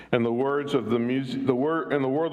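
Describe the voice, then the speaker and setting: Amid noticeable background noise and audible room echo, a man speaks at medium pitch with ordinary pitch variation. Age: 70s. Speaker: minister. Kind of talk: sermon.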